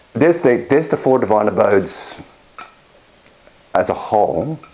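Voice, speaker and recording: There is noticeable background noise. A man speaks with very wide pitch swings. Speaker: clinical psychologist and meditation teacher. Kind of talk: dharma talk at an online retreat.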